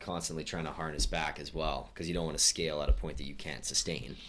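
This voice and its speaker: A man with vocal fry talks at a fairly quick pace with ordinary pitch variation. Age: 20s. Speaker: podcast host. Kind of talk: casual interview.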